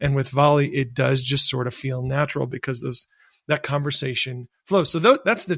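A man speaks at a fairly quick pace with a fairly high pitch and a somewhat breathy voice. His intonation stays fairly even, and the recording is very clean with a silent background. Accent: American. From US Midwest, rural Michigan. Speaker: tech entrepreneur. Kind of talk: interview.

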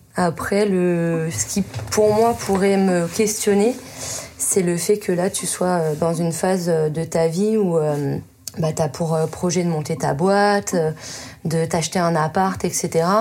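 Over noticeable background noise, a woman with a fairly low pitch talks at a very slow pace. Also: ordinary pitch variation. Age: 30s. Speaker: adapted physical activity teacher. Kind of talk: casual chat. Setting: in total darkness.

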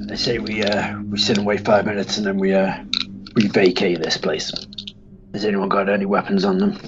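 A man puts on a gruff, raspy character voice at a fairly low pitch, speaking at a fairly quick pace in a flat monotone with long, frequent pauses and clear background noise behind him. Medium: actual play. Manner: gruff, sardonic, bantering.

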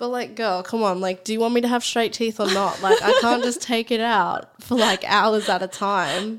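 A woman's fairly high voice, fairly even in intonation, at a moderate pace

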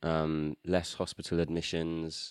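A man speaks in a British accent at a fairly slow pace. The sound is dry and close with no echo, in a very clean recording with a silent background. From UK. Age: 20s. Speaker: drummer and songwriter. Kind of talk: casual chat.

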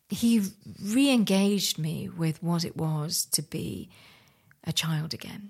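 A woman speaks with a fairly low pitch and a somewhat breathy quality. The recording is very clean, with a silent background. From India, raised in London, England. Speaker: artist. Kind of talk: interview.

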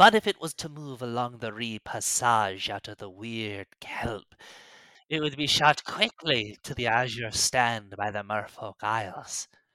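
On a very clean recording with a silent background, a man at medium pitch uses a put-on character voice, cackling and hissing. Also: moderate pace. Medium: actual play. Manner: hissing, cackling.

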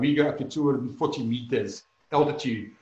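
Audible room echo surrounds a man's voice. He has a fairly high pitch and fairly even intonation. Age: 40s. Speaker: winemaker. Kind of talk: interview.

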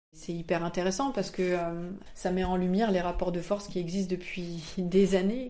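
A woman's dark, mellow tone with audible room echo. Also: medium pitch for a woman, fairly even intonation, moderate pace. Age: 20s. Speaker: comic book author. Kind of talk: interview. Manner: hesitant, many fillers.

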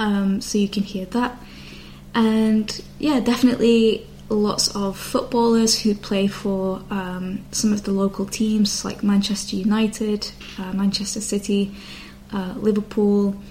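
A woman's medium-pitched, monotone voice with flat intonation, at a fairly slow pace amid noticeable background noise. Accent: slight northern English. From Bolton, northwest England. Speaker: English teacher podcaster. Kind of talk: educational talk for learners.

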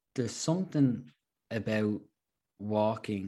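In a Dublin accent, a man with a medium pitch and a dark, mellow tone speaks at a fairly slow pace. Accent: Irish (Dublin). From Ireland, Dublin. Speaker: hiker and adventurer. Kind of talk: casual interview.

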